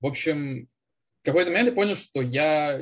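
This man sounds somewhat breathy, with ordinary pitch variation. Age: 30s. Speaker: junior software developer, former bank employee. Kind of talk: casual interview.

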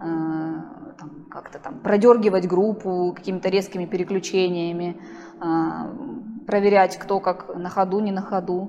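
At a fairly slow pace, a woman speaks with noticeable background noise behind her. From Russian Far East (Primorsky Krai). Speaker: professional middle and long distance runner. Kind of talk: casual interview.

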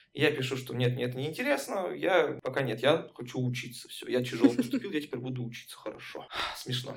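With a normal speaking voice, the delivery moves at a fairly quick pace, showing ordinary pitch variation and big swings in loudness. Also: man, medium pitch for a man. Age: 20s. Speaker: laser tag player and friend of host. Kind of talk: casual chat.

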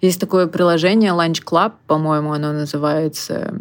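A woman's very deep, low voice in monotone, flat intonation. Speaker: recruitment agency founder. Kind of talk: interview.

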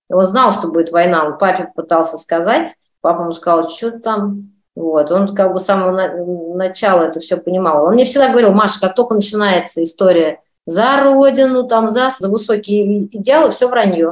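A woman's unremarkable speaking voice at medium pitch, lively in intonation, at a moderate pace. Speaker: actress and director. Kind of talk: interview.

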